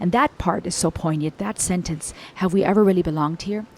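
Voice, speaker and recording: At a fairly quick pace, a woman talks in a medium pitch with ordinary pitch variation. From Germany and US, German-Cuban-American third culture kid. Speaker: music reaction youtuber. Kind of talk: music reaction commentary. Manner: animated.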